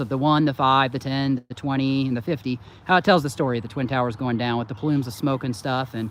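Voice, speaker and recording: A man with an Indiana accent talks at a very fast pace. His voice sits fairly high. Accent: Hoosier twang. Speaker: channel host. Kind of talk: casual chat.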